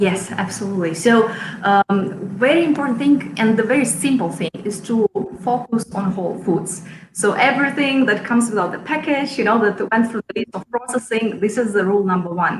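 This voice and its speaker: A woman with a Russian accent, fairly high in pitch, with ordinary pitch variation and a fairly quick pace, amid noticeable background noise. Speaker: chef and cooking school founder. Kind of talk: interview.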